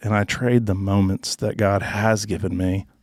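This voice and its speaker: A man's monotone, flat delivery with a Southern US accent, dry and close with no echo. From Arkansas. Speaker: former college football player. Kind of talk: casual chat.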